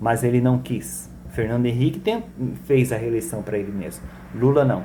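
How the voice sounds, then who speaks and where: A man's words come at a moderate pace, and the room echo is audible. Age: 60s. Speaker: political commentator. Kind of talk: monologue political commentary.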